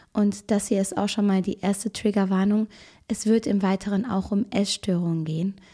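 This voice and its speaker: On a very clean recording with a silent background, a woman's somewhat breathy voice has a dark, mellow tone, medium pitch and fairly even intonation, with a dry, close sound and no echo. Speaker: true crime video host. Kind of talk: casual true crime storytelling to camera. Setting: video recording at home with camera. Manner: chatty, informal.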